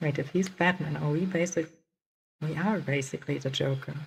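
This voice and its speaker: A woman speaks at a moderate pace in a very deep, low pitch, somewhat breathy. Her pitch moves with ordinary variation. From Germany. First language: German. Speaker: vtuber streamer. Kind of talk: gaming livestream chat.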